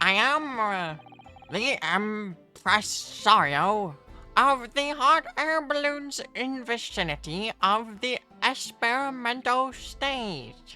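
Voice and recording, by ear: A female-sounding, put-on character voice speaks at a fairly high pitch and a very slow pace. Faint music plays in the background.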